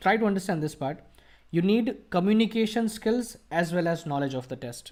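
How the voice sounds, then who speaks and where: A man with an Indian accent speaks at a fairly quick pace in a high voice, with ordinary pitch variation. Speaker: IELTS coach. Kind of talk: live Q&A teaching session. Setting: online video call, live stream.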